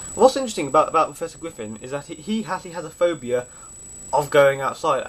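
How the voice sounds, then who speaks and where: A man with a British accent talks at a fairly quick pace with lively intonation. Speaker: fan video reviewer. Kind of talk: casual DVD review monologue. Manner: stutters a little, halting.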